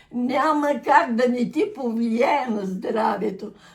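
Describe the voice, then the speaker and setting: With lively intonation and a high pitch, a woman speaks at a very slow pace. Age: 80s+. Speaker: centenarian interviewee. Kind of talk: casual chat.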